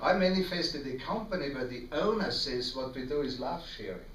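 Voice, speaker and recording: A man with an Austrian accent speaks at a moderate pace with lively intonation. Noticeable background noise and audible room echo surround him. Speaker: network marketing distributor giving testimony. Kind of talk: testimony.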